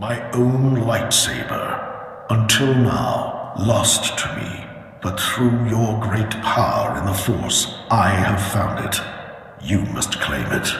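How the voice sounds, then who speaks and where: A man's put-on character voice, medium in pitch, delivered at a very slow pace with strong echo. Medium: machinima. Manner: solemn, portentous.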